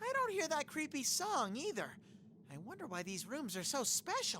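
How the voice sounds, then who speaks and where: A put-on character voice sits at a high pitch with very wide pitch swings. It runs at a moderate pace over clear background noise. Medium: video game. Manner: playful, chummy.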